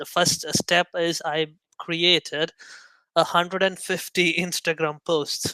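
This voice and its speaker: A man's high voice in a non-native accent, bright and sharp, monotone and flat, at a fairly slow pace with big swings in loudness, in a dry, close sound with no echo. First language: not English. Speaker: indie app developer. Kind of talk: casual chat. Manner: halting.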